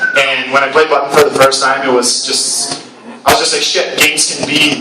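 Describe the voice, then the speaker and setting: A man talks at a moderate pace. Audible room echo and noticeable background noise are present. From Brazil. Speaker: game designer. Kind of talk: talk at event. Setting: live event with audience. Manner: casual, hesitant with many fillers.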